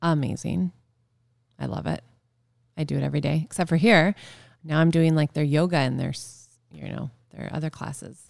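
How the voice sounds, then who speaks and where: With a Canadian accent, a woman speaks in a very deep, low pitch with vocal fry. Her intonation is lively, and she takes long, frequent pauses. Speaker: former event planner and podcast co-host. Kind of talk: casual chat. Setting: studio.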